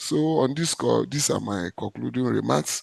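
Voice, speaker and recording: A man with a Ghanaian accent is heard in a dry, close recording with no echo. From Ghana, Accra. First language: Ga. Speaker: cultural heritage official. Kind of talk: panel discussion. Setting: video call. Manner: halting.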